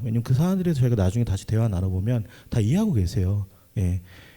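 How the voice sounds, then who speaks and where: A man's very fast, somewhat breathy voice of medium pitch and dark, mellow tone, on a very clean recording with a silent background. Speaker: panelist, religious worker and committee member. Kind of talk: panel discussion.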